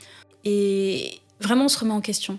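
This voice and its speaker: Music sits in the background as a woman speaks at a medium pitch. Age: 20s. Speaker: student, identity theft victim. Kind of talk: interview testimony. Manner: hesitant, many fillers.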